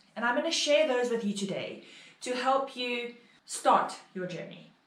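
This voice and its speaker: Ordinary pitch variation at a fairly slow pace, with audible room echo. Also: woman, high pitch for a woman. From South Africa. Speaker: online English teacher. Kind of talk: tutorial vlog.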